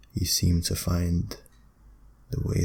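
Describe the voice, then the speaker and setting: A man's voice with audible room echo. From Britain. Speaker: ASMR creator. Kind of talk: ASMR talk, philosophical musing. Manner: quiet; slow.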